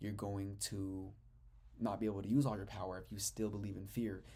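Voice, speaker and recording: Audible room echo surrounds a man's fairly low, somewhat breathy voice with a dark, mellow tone. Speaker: spiritual teacher. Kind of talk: lecture. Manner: fast; animated.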